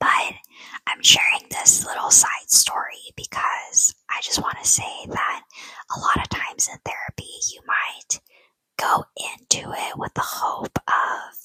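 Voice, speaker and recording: The words come out in a whisper, fairly slowly. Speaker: ASMR storyteller. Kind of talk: whispered ASMR personal story to camera. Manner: whispered, soft.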